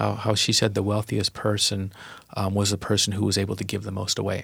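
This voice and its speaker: A man's fairly low-pitched voice with vocal fry, on a very clean recording with a silent background. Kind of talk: casual chat. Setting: studio.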